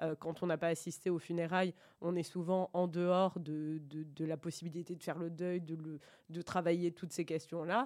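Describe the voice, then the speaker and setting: A woman speaks at a moderate pace in a fairly low voice with flat, monotone intonation. The recording is very clean, with a silent background. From France, Bordeaux. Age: 40s. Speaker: radio administrator and book reader guest. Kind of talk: interview about a book. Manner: hesitant, many fillers.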